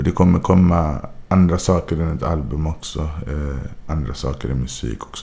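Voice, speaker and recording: A man with a very deep, low pitch and ordinary pitch variation talks over noticeable background noise. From Sweden, Gothenburg (Majorna). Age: 20s. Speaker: rapper. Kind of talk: interview.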